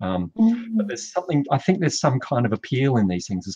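Little noise sits behind a dry, echo-free sound. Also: man. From South Australia. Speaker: artist and art school teacher. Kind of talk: interview about his artwork. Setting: video call. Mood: relaxed, reflective.

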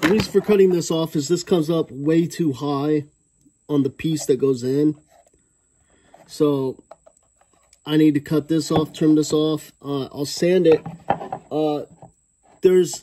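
Noticeable background noise accompanies a man with a dark, mellow tone who speaks at a fairly slow pace with fairly even intonation and long, frequent pauses. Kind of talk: tutorial. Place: workshop. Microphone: phone near.

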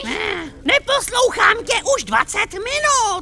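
An extremely high, put-on character voice over clear background noise. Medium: dub. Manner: grumpy, demanding.

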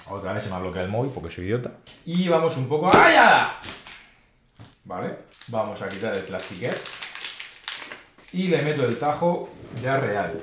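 With a fairly bright tone and medium pitch, a man talks at a moderate pace, making big pitch swings and long, frequent pauses.

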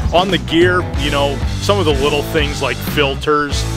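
A man is speaking, and the sound is dry with no echo. Clear music plays in the background. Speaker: video creator. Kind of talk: casual vlog chat. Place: open country. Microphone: phone near.

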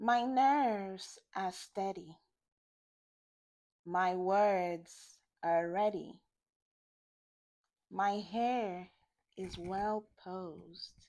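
This woman talks at a very slow pace with ordinary pitch variation, leaving long, frequent pauses. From Nigeria. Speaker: poet. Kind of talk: poetry reading. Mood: calm, measured, poised. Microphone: lapel.

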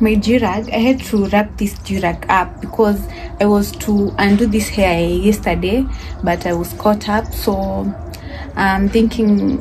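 Noticeable background noise sits under the clip. The woman talks at a fairly slow pace. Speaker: vlogger. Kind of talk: casual vlog chat. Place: home room. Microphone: phone near.

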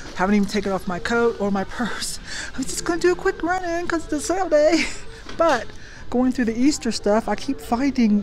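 High-pitched female voice with faint music in the background. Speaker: thrift reseller vlogger. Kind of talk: casual vlog chat. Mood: cheerful, laughing. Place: shop. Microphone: phone near.

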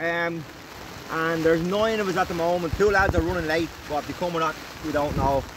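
A man with a high pitch speaks at a fairly quick pace with fairly even intonation. The sound is dry with no echo, though noticeable background noise is present. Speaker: angler vlogger. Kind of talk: casual vlog chat. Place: tent. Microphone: phone near.

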